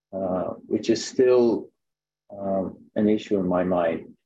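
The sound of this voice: A man speaks at a slow pace. His tone is slightly mellow.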